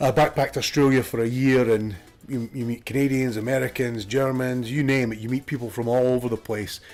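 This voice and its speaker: Fairly quick male speech at a medium pitch, backed by music. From Scotland. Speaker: gaming streamer. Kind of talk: casual gameplay commentary.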